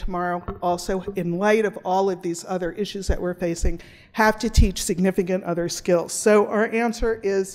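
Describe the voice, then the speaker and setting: The recording is very clean, with a silent background. A woman of medium pitch speaks at a moderate pace in a monotone, flat way. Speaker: law professor. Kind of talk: conference presentation.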